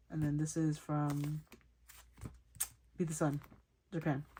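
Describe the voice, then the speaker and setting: A very clean recording of a woman talking, with a silent background. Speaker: k-pop photocard collector vlogger. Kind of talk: casual collection showcase talk. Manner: fast; chatty, self-correcting.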